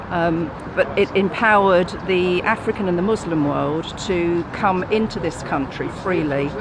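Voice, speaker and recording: A woman's fairly low voice, with ordinary pitch variation, comes through noticeable background noise. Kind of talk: street interview answer.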